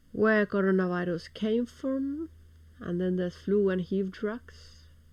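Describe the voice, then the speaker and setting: A woman speaks with a Finnish accent. Her pitch is medium and her pace fairly slow. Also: ordinary pitch variation. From Finland. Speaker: video blogger. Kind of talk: news commentary reading from articles. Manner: halting.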